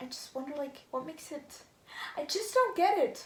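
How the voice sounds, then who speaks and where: This woman talks at a moderate pace with a non-native accent. Audible room echo surrounds her voice. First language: not English. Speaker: vlogger. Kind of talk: casual vlog monologue. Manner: hesitant, many fillers.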